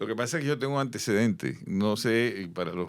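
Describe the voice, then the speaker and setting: On a very clean recording with a silent background, a man speaks very fast with ordinary pitch variation. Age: 60s. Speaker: business executive and consultant. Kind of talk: interview conversation.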